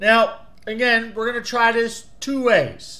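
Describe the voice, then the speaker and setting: A man speaks in an American accent. His voice is extremely high-pitched. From New Jersey. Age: 40s. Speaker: YouTube product reviewer. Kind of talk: casual video review. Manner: animated. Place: home room. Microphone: webcam.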